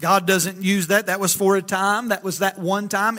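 A man's high, raised, projected voice in a Southern US accent, bright and sharp in tone, at a moderate pace. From Alabama. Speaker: pastor. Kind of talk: sermon. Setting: church.

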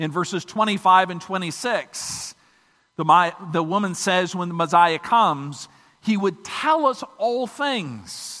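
A man with an American accent uses a raised, projected voice with a bright, sharp tone. His intonation is lively and his pace fairly slow. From Michigan. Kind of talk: sermon. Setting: church.

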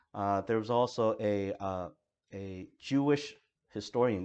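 Speaking in an ordinary speaking voice, a man with fairly low pitch keeps his intonation fairly even. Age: 40s. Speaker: pastor. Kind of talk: sermon.

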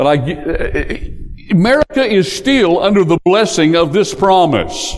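Very slowly, a man with a high pitch speaks with very wide pitch swings over noticeable background noise. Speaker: pastor. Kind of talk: sermon. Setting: church.

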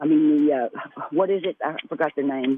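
Here is a woman with an American accent and a normal speaking voice. She talks at a moderate pace with lively intonation. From Texas. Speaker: caller. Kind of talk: call-in opinion. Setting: phone call.

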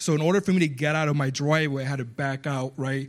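This man has a slight Spanish accent and a fairly high pitch, and he talks at a fairly quick pace. The recording is very clean, with a silent background. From Puerto Rico. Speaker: guest preacher. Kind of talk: sermon. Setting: church.

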